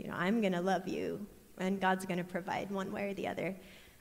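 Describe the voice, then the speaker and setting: There is audible room echo around this woman's voice. She has a medium pitch and an American accent. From US Midwest, Iowa. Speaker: missionary. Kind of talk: testimony. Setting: church.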